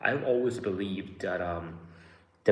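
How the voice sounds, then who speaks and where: A man speaks with a slight Australian accent and ordinary pitch variation. His somewhat breathy voice carries audible room echo. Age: 20s. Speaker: YouTuber. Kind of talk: live stream chat. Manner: casual.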